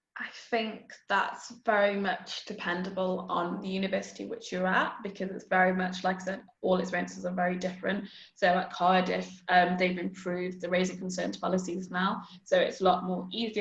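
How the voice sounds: A woman talks at a moderate pace in a fairly low pitch, with vocal fry and little pitch movement. Audible room echo surrounds her voice.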